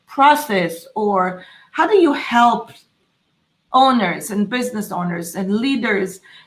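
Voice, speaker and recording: Speaking with a non-native accent, a woman uses a fairly high pitch and a somewhat breathy voice. She goes at a very slow pace with very wide pitch swings. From Israel. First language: Hebrew. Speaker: podcast host. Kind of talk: interview. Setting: live stream. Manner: halting.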